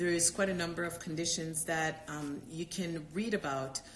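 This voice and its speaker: A woman with a fairly low pitch talks in fairly even intonation while noticeable background noise carries on. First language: not English. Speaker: doctor and yoga teacher. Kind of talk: live Q&A stream. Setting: live stream. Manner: halting, many fillers and repetitions.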